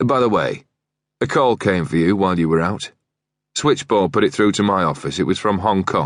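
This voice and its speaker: Putting on a gravelly, growling character voice, a man speaks at a fairly low pitch and moderate pace with lively intonation and very even loudness. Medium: read story. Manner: growling, curt.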